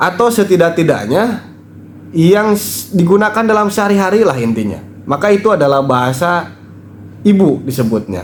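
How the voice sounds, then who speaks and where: This man has a high voice with very wide pitch swings and a West Javanese accent. He speaks at a moderate pace. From West Java, Indonesia (Sundanese). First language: Sundanese (speaking Indonesian). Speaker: commentator on Sundanese culture and spirituality. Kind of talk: video commentary monologue.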